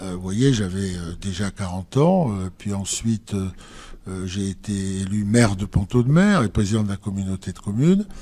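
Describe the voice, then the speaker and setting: On a very clean recording with a silent background, a man with a fairly low pitch speaks in a dark, mellow tone with fairly even intonation. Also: moderate pace. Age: 60s. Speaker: politician. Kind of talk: political interview. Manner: hesitant, many fillers.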